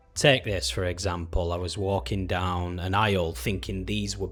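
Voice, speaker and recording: Music plays in the background behind a speaker with an English accent. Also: man. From England. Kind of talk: casual talk to camera.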